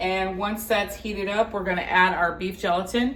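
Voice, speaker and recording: There is noticeable background noise behind a woman speaking. She keeps a moderate pace and fairly even intonation. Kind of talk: cooking tutorial talk to camera. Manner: casual, hesitant with fillers.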